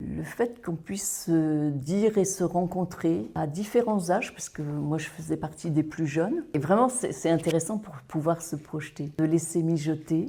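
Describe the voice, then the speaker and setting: Vocal fry marks a dark, mellow tone with ordinary pitch variation. The pace is fairly slow. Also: woman. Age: 60s. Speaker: workshop participant. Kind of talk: testimony.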